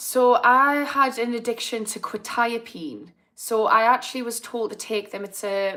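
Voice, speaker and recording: A woman's bright, sharp voice at a moderate pace with ordinary pitch variation, on a very clean recording with a silent background. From northern England, Newcastle (Geordie). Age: 30s. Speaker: addiction therapist. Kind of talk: live stream chat. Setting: live video stream. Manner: casual, chatty.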